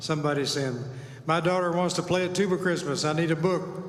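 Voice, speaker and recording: A man speaks with fairly even intonation. Audible room echo and noticeable background noise accompany him. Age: 70s. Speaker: tuba ensemble leader. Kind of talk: event emcee talk. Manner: halting.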